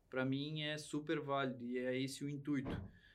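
Fairly high for a man, this speaker's voice holds a monotone, flat intonation. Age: 20s. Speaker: horse trainer and rider. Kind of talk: casual interview chat.

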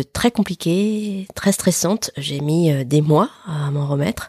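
A woman speaks with a very deep, low pitch and a dark, mellow, somewhat breathy tone. The sound is dry and close, with no echo. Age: 40s. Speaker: podcast host. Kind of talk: casual interview answers. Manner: hesitant.

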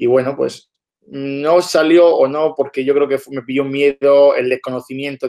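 The voice is a man's. His intonation is monotone and flat. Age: 20s. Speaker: entrepreneur. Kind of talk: casual interview.

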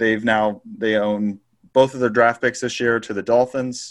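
On a very clean recording with a silent background, a man in a normal speaking voice talks at a medium pitch and a moderate pace. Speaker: sports betting co-host. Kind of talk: casual chat.

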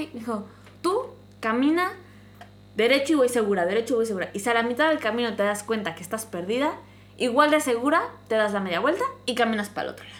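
A fairly high-pitched woman at a very fast pace, with lively intonation, long and frequent pauses, big swings in loudness, and noticeable background noise. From Mexico, small town. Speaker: podcast host. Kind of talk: casual chat.

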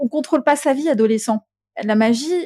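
In a very clean recording with a silent background, a woman speaks with ordinary pitch variation in a dry, close sound with no echo. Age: 40s. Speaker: thanatologist and medium. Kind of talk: casual chat.

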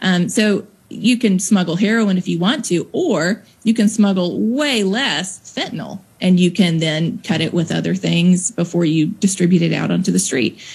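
A woman with a Southern US accent and vocal fry speaks at a moderate pace and medium pitch, her pitch varying in an ordinary way and hardly any pauses breaking her speech. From Mississippi, US South. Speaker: nonprofit founder, drug policy advocate. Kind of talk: interview.

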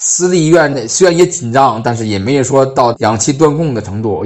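With an ordinary speaking voice, a man talks at a medium pitch. His intonation is lively and his pace fairly quick. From Hebei, northern China. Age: 30s. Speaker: engineer at a renewable energy company working abroad. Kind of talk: personal testimony.

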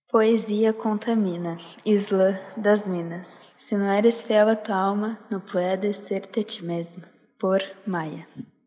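Very slowly, a woman speaks in an intense tone with monotone, flat intonation. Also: medium pitch for a woman. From Porto Alegre, southern Brazil. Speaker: slam poet. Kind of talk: spoken word poetry, slam performance. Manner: intense, rhythmic, emotive delivery; reflective, introspective.

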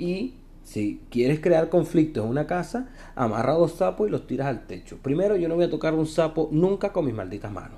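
A man speaks at a moderate pace in a fairly high voice with a dark, mellow tone. His pitch swings very widely. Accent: Venezuelan. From Venezuela. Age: 20s. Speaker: podcast host. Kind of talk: comedic monologue. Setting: recording in his elevator.

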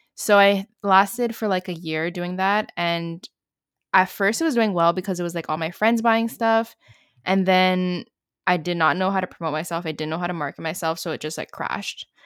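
Here is an unremarkable speaking voice from a woman at medium pitch, with fairly even intonation and a moderate pace. The sound is dry and close with no echo, in a very clean recording with a silent background. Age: 20s. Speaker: student entrepreneur and content creator. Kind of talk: casual interview chat.

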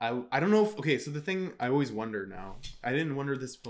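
A man at medium pitch, fairly quick pace and lively intonation. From Surrey, British Columbia, Canada. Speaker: animator. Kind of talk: casual interview chat.

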